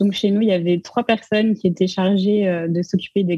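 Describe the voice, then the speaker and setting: A woman speaks fairly quickly at medium pitch, her tone dark, mellow and somewhat breathy. Her intonation is fairly even, and the sound is dry and close with no echo. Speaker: arts management student. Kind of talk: casual chat.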